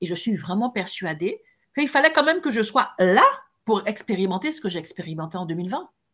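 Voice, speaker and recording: Very wide pitch swings run through a woman's medium-pitched speech at a fairly quick pace. The recording is very clean, with a silent background. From French Caribbean islands. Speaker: podcast co-host, coach. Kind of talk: casual chat.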